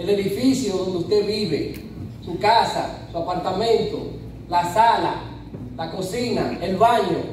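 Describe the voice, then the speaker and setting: Long, frequent pauses break up speech heard with audible room echo and light background noise. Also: man, high pitch for a man, ordinary pitch variation, fairly slow pace. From Dominican Republic, Duvergé; Dominican Republic. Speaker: personal image coach. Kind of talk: conference talk. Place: hall.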